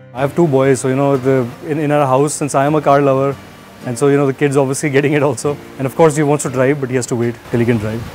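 Faint music plays behind a man talking at a very fast pace. His intonation is monotone and flat. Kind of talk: interview answer. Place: garden. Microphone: lapel.

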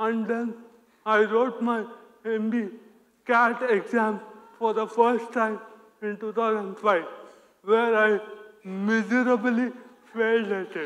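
A man with an Indian accent talks at a very slow pace, his high pitch held in a monotone, flat intonation. Long, frequent pauses break his speech against a quiet background. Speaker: operations analyst. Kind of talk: conference talk. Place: stage.

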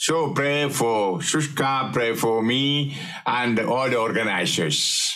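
A man speaks at a very slow pace. His loudness stays very even, with ordinary pitch variation. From India. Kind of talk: sermon. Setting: online retreat. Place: home room.

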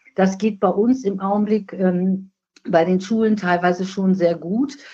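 A woman speaks fairly slowly at a medium pitch, her tone dark and mellow and somewhat breathy. Her loudness stays very even and her intonation fairly even. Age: 60s. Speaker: nursing scientist, professional association president. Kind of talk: podcast interview.

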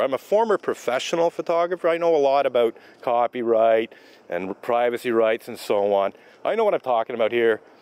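A man is speaking. The sound is dry, with no echo. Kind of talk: argument with a passerby. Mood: argumentative, defensive. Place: street. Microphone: phone near.

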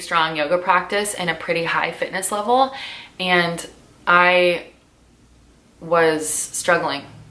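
A woman speaks with a Californian accent. Her pace is very slow. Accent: Californian American. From US West Coast (Southern California, Orange County); Southern California. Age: 30s. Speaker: lifestyle vlogger and yoga teacher; lifestyle vlogger, yoga teacher. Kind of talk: casual sit-down chat to camera. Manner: animated. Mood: relaxed, reflective. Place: home room.

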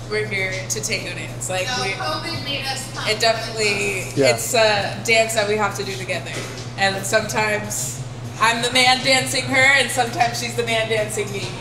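A woman at a moderate pace, with music in the background. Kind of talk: interview answer. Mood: cheerful, laughing. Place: kitchen.

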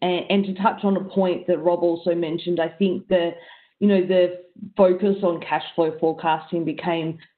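Against a quiet background, a woman speaks at a moderate pace. Her voice is fairly low and her intonation monotone and flat. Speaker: panelist. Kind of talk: panel discussion answer. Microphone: video call.

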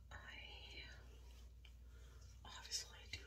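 Very slowly, a woman delivers her words. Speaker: ASMR vlogger. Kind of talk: ASMR skincare chat. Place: bathroom. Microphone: phone near.

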